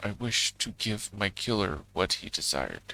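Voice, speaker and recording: A man is doing a put-on character voice. His pitch is fairly low. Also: moderate pace. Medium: game stream. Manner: grand, measured, solemn.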